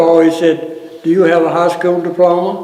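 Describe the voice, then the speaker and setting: A man with an Appalachian accent speaks at a fairly slow pace in a high voice. Room echo is audible. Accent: Appalachian Southern US. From US South, North Carolina mountains (Ashe County). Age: 70s. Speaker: retired fire captain. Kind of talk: oral history interview. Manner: halting, many fillers.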